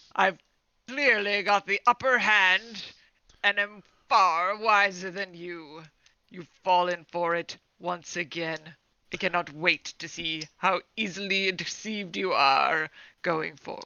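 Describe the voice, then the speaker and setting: A female-sounding put-on character voice speaks at a fairly slow pace and medium pitch. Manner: smug, gloating.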